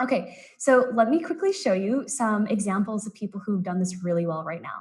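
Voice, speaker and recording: Somewhat breathy and lively in intonation, a woman with an American accent talks at a fairly quick pace in a medium pitch. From US West Coast, San Francisco Bay Area. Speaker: business consultant presenting a workshop. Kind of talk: live-streamed presentation. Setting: live online stream. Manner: fast.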